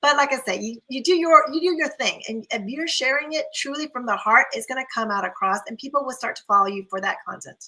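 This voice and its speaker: Raised and projected, a woman's high voice comes out bright, sharp and animated, with lively intonation and big swings in loudness. She speaks at a fairly quick pace with hardly any pauses. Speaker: optometrist, guest speaker. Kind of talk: online panel talk. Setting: live video stream. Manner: fast when passionate.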